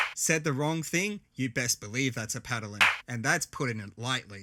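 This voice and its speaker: A man's fairly high, bright and sharp voice at a moderate pace with lively intonation, on a very clean recording with a silent background. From Australia, Adelaide. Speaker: content creator. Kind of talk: scripted narration. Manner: animated.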